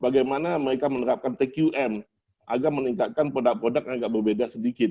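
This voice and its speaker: A man with a Palembang accent talks at a very fast pace, with ordinary pitch variation. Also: medium pitch for a man. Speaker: doctoral candidate and engineering manager. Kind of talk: doctoral thesis defense. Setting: open doctoral examination with audience. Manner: formal.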